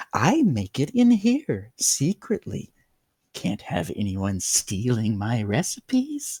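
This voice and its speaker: In a put-on character voice with a medium pitch, a man speaks at a fairly slow pace in a dry, close sound with no echo. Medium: read story. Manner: manic, overly hospitable.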